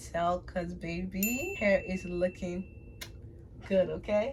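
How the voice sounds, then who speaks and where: At a very slow pace, a woman with a Liberian accent speaks at medium pitch with ordinary pitch variation over noticeable background noise. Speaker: beauty vlogger. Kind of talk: casual tutorial vlog. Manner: animated.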